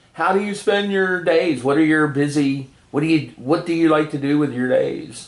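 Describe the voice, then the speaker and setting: A man with an unremarkable speaking voice and a fairly high pitch shows ordinary pitch variation. He keeps a moderate pace with hardly any pauses. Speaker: oral history interviewer. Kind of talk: interview questions.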